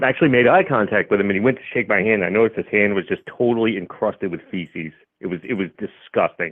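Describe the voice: Fairly quick pace from a man with fairly low pitch and ordinary pitch variation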